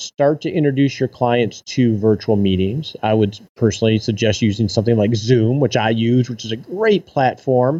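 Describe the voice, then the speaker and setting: The sound is dry and close with no echo. A man's dark, mellow tone carries lively intonation at a moderate pace. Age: 40s. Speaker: financial advisor and podcaster. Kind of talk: interview conversation.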